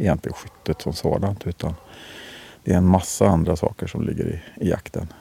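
A man with a very deep, low voice talks at a moderate pace, his pitch varying in an ordinary way, as noticeable background noise plays. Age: 50s. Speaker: hunter. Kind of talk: interview. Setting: outdoors on a hunting stand. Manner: quiet, hushed.

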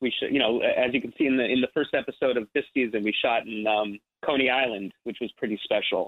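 With an American accent and a medium pitch, a man talks with hardly any pauses. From New Jersey. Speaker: actor. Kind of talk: interview. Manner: halting.

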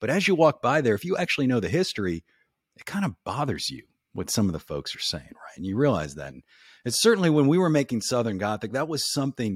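A man talks very fast at medium pitch with vocal fry, very wide pitch swings and big swings in loudness. The recording is very clean with a silent background and a dry, close sound with no echo. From New Orleans, Louisiana. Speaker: podcaster and ghost tour guide. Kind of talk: casual chat with storytelling.

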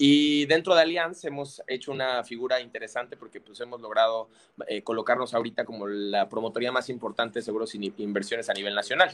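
Speaking at a very fast pace with hardly any pauses, a man with a medium pitch shows ordinary pitch variation and big swings in loudness. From Mexico. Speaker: financial advisor. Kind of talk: casual chat.

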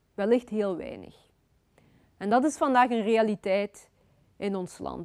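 This very clean recording of a woman has a silent background and a dry, close sound without any echo. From Belgium (Flanders), born in Congo. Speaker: author. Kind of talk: lecture. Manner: hesitant, with many fillers.

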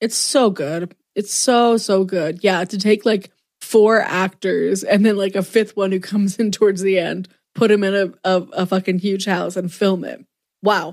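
In a very clean recording with a silent background, a woman talks in a normal speaking voice at a medium pitch with fairly even intonation. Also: moderate pace. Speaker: podcast co-host. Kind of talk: casual chat.

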